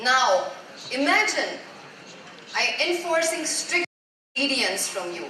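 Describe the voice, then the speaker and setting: A woman projects a raised voice at a high pitch, speaking very slowly with audible room echo. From Germany. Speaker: life coach. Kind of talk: motivational talk. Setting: stage with audience.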